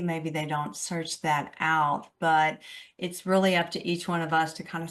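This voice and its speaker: In an ordinary speaking voice, a woman talks at a fairly low pitch against a quiet background. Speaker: radio show host. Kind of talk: radio interview, host questions.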